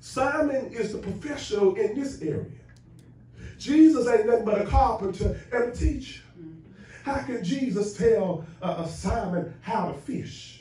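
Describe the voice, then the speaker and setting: A man's high, animated voice, with lively intonation, a fairly slow pace and audible room echo. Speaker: preacher. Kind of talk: sermon. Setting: church. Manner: animated, call-and-response preaching. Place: church.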